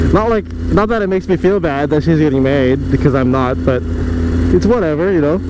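The speech moves at a very fast pace. The sound is dry with no echo, over noticeable background noise. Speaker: motovlogger. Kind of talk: casual vlog chat. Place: motorbike. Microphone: helmet.

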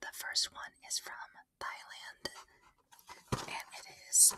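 Every word comes out as a whisper. The delivery is fairly slow. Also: woman. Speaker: ASMR creator. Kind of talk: ASMR whispered snack tasting. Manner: whispered. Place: home room. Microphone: studio mic.

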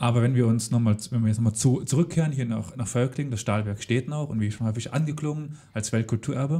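This man has a dark, mellow tone, somewhat breathy, at medium pitch and moderate pace with fairly even intonation. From Saarland, Germany (Völklingen). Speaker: history podcast host. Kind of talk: interview. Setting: on location at former steelworks heritage site.

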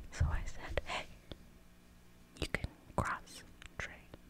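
A woman whispers. Her pace is very slow. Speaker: ASMR creator. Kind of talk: ASMR whispered gameplay. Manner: whispered.

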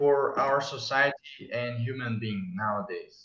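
A man with a Portuguese accent in a bright, sharp tone, with audible room echo. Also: quiet background. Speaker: plant ecology researcher, interviewer. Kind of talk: interview. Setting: video call. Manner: halting. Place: home room. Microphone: earbuds.

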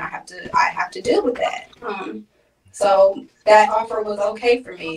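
A woman speaks with ordinary pitch variation. Light background noise can be heard. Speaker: remote guest. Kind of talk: interview answer. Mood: aggrieved, explaining. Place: home room.

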